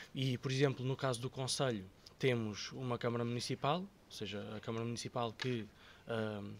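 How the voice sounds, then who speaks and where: Medium-pitched male speech at a moderate pace with fairly even intonation. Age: 30s. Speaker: local politician. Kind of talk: podcast interview. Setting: studio. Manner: halting, many fillers and repetitions.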